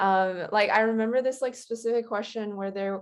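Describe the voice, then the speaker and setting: A woman speaks in a normal speaking voice at a fairly high pitch and moderate pace. Her pitch variation is ordinary, against a quiet background. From Canada, Winnipeg. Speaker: graduate scholarship recipient. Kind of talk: casual chat.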